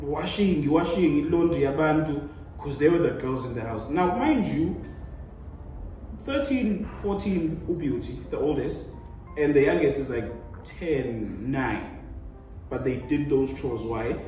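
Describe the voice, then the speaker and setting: Music plays in the background, and audible room echo surrounds a man speaking at a fairly slow pace with long, frequent pauses. His pitch is fairly high and his intonation lively. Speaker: panel guest. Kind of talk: casual debate.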